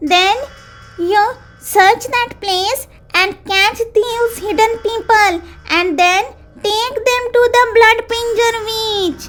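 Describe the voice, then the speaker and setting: Over music in the background, a female-sounding put-on character voice at an extremely high pitch speaks at a very slow pace with long, frequent pauses. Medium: read story.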